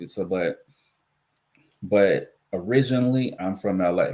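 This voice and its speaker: A man speaks with an American accent. His pitch is fairly low, with ordinary variation. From US West Coast, Los Angeles. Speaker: livestream commentary host. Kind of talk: casual live stream commentary.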